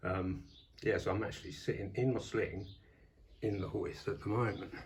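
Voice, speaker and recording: A somewhat breathy voice speaks at a moderate pace, with audible room echo. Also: man. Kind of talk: casual vlog. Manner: hesitant, many fillers.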